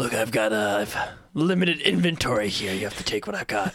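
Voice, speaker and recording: Using a put-on character voice, a raspy man speaks at a fairly quick pace in a fairly low pitch with very wide pitch swings. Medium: actual play. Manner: evasive, salesman-like.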